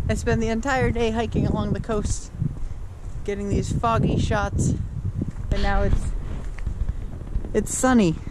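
A man talks at a fairly slow pace, the sound dry with no echo but with loud background noise behind him. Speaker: outdoor vlogger. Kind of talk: casual vlog chat. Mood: relaxed, amused. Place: forest. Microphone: phone near.

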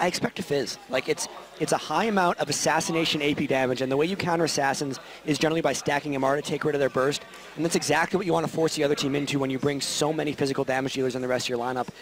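A man at a very fast pace, fairly high-pitched, with fairly even intonation and music in the background. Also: very even loudness. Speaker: esports caster. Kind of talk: live commentary.

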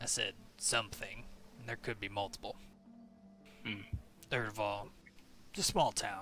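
This man puts on a gruff character voice. His pitch is medium and his pace moderate. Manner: gruff, blunt, impatient.

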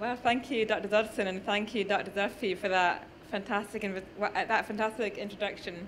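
This woman has a northern English accent, a medium pitch, a fairly bright tone and fairly even intonation, talking at a fairly quick pace.

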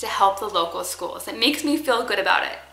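A woman's voice with audible room echo and faint music in the background. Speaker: parenting vlogger. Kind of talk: casual vlog chat. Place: kitchen.

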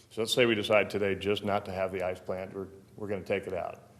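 Audible room echo surrounds a man speaking very fast in a fairly low voice. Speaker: event center manager. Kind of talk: public meeting testimony. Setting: city council chamber. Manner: direct; halting.

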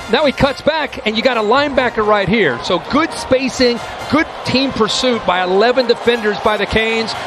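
With music in the background, a man speaks at a moderate pace in an extremely high voice with ordinary pitch variation. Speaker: color analyst. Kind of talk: live color commentary analyzing replays. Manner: critical, explanatory, somewhat halting.

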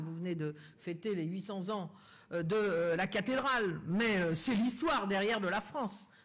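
Her pace is moderate as this woman speaks with ordinary pitch variation. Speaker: politician. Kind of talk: political speech. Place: hall.

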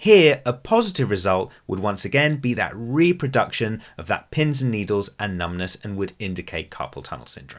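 The voice moves at a moderate pace with very wide pitch swings over a quiet background. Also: man. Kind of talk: tutorial. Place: home room.

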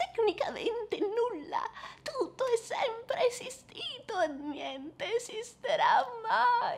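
A woman speaks very slowly at an extremely high pitch, her pitch swinging very widely while her loudness stays very even. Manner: cryptic, detached, amused.

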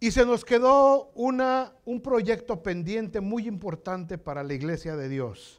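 Over a quiet background, a man talks at a fairly slow pace with a high pitch and very wide pitch swings. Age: 60s. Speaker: pastor. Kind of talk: sermon. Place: church. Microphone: lapel.

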